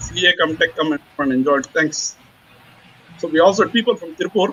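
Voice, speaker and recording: A man's fairly high voice with an Indian accent, rushing at a very fast pace over noticeable background noise. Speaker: chartered accountant presenting a webinar. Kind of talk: webinar Q&A. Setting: online webinar.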